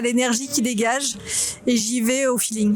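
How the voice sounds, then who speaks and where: Over noticeable background noise, a woman talks at a moderate pace in a high voice with fairly even intonation. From France (Normandy, Toulouse, Bordeaux). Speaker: photographer, vlogger. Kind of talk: street interview vlog. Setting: outdoors on a street.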